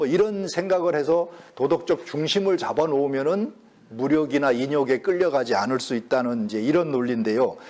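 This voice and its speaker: This is an unremarkable speaking voice: a man with a fairly high pitch, ordinary pitch variation and a moderate pace. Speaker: professor emeritus lecturing on Confucian classics. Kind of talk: lecture. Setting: lecture hall with audience.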